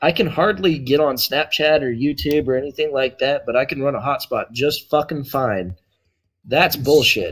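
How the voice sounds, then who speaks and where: Music plays behind a man with a strong Texan accent and a fairly high pitch. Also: ordinary pitch variation, moderate pace. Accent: Texan accent, strong now. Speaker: tabletop role-playing player. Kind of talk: casual chat. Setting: hotspot on laptop at remote ranch.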